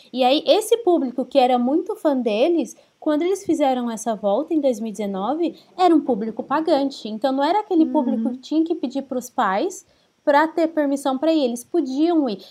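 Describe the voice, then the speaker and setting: At a fairly quick pace, the voice carries a dark, mellow tone and lively intonation. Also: woman, high pitch for a woman. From Brazil. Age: 30s. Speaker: podcast co-host. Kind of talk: casual chat.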